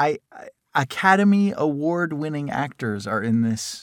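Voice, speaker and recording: On a very clean recording with a silent background and a dry, close sound with no echo, a man with a General American accent speaks fairly slowly at a fairly high pitch with very wide pitch swings. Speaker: voiceover actor and podcast host. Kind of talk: casual chat, comedic banter. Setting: studio. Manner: playful, joking.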